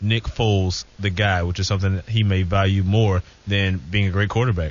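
A man speaks with a fairly low pitch in a monotone, flat way. His voice is somewhat breathy. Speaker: sports reporter. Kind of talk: casual chat.

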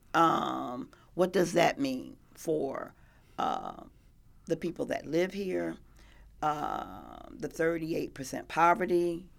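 Very slow speech in an American accent with long, frequent pauses, in a very clean recording with a silent background. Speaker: local political candidate. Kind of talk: radio interview. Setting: radio studio.

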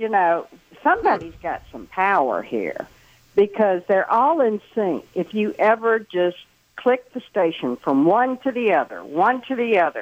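Very wide pitch swings from a woman speaking at a fairly slow pace. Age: 70s. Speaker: caller. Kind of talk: casual talk radio call. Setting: phone call.

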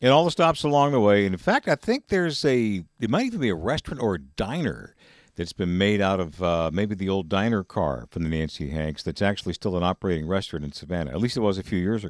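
With an American accent, a fairly low-pitched man talks at a very fast pace with hardly any pauses and very wide pitch swings. The sound is dry and close, with no echo. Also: very clean recording, silent background. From Georgia, US South. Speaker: radio news anchor. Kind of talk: radio interview.

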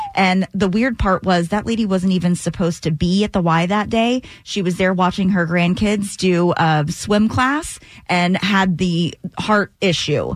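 A woman has an ordinary speaking voice at a medium pitch, with ordinary pitch variation. She speaks at a fairly slow pace with very even loudness. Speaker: radio news and traffic co-host. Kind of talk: radio DJ patter, chatty news segment. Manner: bright, conversational, friendly.

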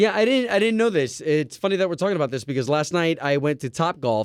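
Talking at a very fast pace, a man swings his pitch very widely. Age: 30s. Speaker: radio host. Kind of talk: casual chat.

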